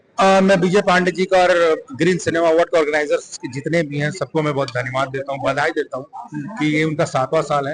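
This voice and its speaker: Over noticeable background noise, a man with a Bihari accent speaks with ordinary pitch variation. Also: fairly high pitch for a man, moderate pace. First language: Bhojpuri (speaking Hindi). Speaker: film actor. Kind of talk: interview. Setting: award event.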